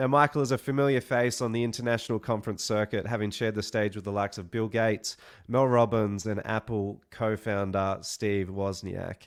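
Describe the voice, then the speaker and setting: Fairly even intonation from a man with a fairly low pitch, at a fairly quick pace. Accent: Australian. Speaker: webinar host. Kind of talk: online event hosting.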